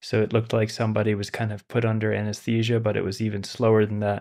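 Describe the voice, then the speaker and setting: Against a quiet background, a man speaks at a fairly low pitch in a flat monotone. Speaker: meditation teacher. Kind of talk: lecture then guided meditation. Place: home room. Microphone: studio mic.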